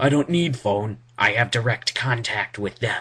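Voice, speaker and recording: A man's put-on character voice at medium pitch and a moderate pace. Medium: read story.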